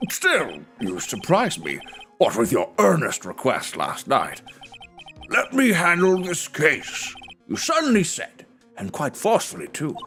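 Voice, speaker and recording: A man puts on a character voice at a moderate pace, leaving long, frequent pauses while faint music plays in the background. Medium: virtual streamer. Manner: fussy, pompous.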